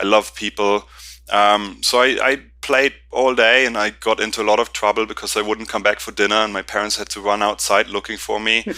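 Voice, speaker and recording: A man's fairly low, bright and sharp voice, monotone and flat, at a fairly quick pace. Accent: German. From Germany, Berlin. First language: German. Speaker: company founder and CEO. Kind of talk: interview. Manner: halting, many fillers.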